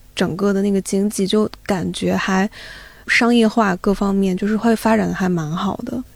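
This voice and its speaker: A woman's plain, everyday voice, medium in pitch, with ordinary pitch variation and a moderate pace. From eastern China (Zibo, Shandong). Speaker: audio editor. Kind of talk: casual chat.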